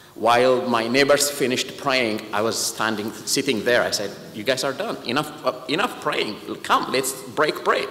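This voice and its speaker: A man speaks at a medium pitch with an Ethiopian accent. Noticeable background noise and audible room echo surround his voice. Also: ordinary pitch variation, moderate pace. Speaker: patient advocate, organization president. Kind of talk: speech. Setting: church.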